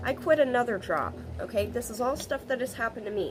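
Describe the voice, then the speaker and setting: With music in the background, a woman speaks at a high pitch and a moderate pace. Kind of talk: casual talk to camera. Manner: casual, rambling.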